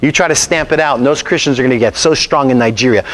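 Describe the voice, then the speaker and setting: Animated and very fast, a man talks at a medium pitch with noticeable background noise. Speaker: pastor. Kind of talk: sermon.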